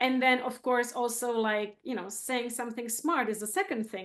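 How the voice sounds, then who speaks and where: With a Czech accent, a woman speaks at a fairly high pitch over a quiet background. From Czech Republic. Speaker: photographer. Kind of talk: interview.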